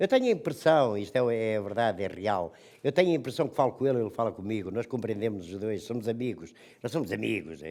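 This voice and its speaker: In a very clean recording with a silent background, a man with a medium pitch talks at a very fast pace with lively intonation. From Portugal, Nazaré. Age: 80s+. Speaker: retired cod fisherman. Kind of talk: personal testimony to students.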